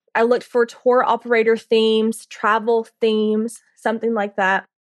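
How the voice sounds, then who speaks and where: A woman speaks with a Southern US accent at a fairly high pitch. Her pace is fairly slow. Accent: Southern US (Georgia). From US South, Carrollton, Georgia. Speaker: tour business owner. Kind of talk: interview.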